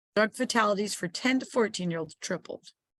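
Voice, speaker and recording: The woman's voice sits at a medium pitch with lively intonation. Her sound is dry and close, with no echo. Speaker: public information officer giving an educational seminar. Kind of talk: online informational seminar. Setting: online video call.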